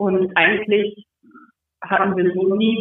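Speaking at a fairly slow pace, a woman keeps a monotone, flat intonation. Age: 20s. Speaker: amateur footballer. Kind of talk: casual interview.

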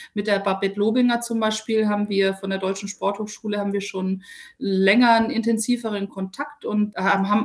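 A woman speaks in a calm, somewhat breathy voice. Her intonation is monotone and flat. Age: 40s. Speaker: sports reporter. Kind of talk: interview. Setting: remote call.

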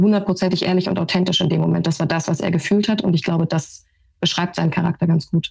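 This woman's voice sits at a fairly low pitch and sounds somewhat breathy. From Brandenburg, eastern Germany. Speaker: sports TV presenter. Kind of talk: podcast discussion.

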